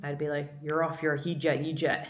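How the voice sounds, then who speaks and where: A woman with an American accent speaks with a very deep, low pitch. Audible room echo and noticeable background noise surround her voice. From Scotland, moved to the US as a young child. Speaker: vlogger, visual artist. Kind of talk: casual chat.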